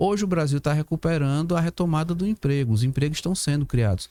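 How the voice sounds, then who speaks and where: At a fairly quick pace, a man speaks with a dark, mellow tone at a fairly high pitch, recorded dry and close with no echo, very clean, with a silent background. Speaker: professor and labor law guest. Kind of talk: podcast discussion. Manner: fast.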